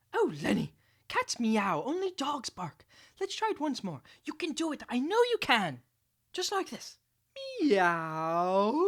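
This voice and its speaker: Cartoonish character voice, female-sounding and high-pitched for a woman, with very wide pitch swings and long, frequent pauses. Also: fairly slow pace. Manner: patient, encouraging.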